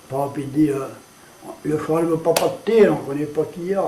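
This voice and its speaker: Noticeable background noise and audible room echo surround a man with a Cajun accent. He speaks fairly slowly at a fairly high pitch, his intonation fairly even. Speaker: storyteller. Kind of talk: interview.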